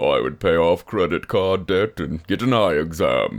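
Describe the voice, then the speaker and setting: A man puts on a character voice at a very deep, low pitch. He keeps a moderate pace. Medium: read story. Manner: deadpan, grumpy.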